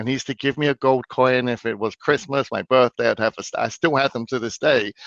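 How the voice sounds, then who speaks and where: In an English accent, a man speaks at a fairly quick pace with medium pitch and ordinary pitch variation. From London, England. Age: 40s. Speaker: financial expert. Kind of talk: interview. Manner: hesitant, repeats words.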